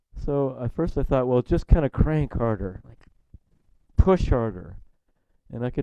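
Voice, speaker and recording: A man's medium-pitched voice, dark and mellow in tone, at a moderate pace. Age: 60s. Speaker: Zen teacher. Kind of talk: dharma talk. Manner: halting.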